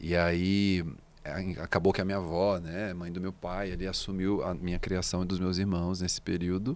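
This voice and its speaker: On a very clean recording with a silent background, a man with a very deep, low pitch speaks at a moderate pace in monotone, flat intonation. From Brazil, Minas Gerais (Belo Horizonte/Contagem). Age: 30s. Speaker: singer-songwriter. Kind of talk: interview conversation. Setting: studio.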